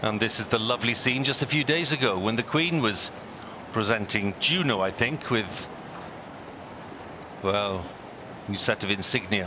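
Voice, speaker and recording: There is noticeable background noise. Underneath it, a man speaks with a fairly low pitch. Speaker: TV presenter. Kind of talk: live ceremonial broadcast commentary.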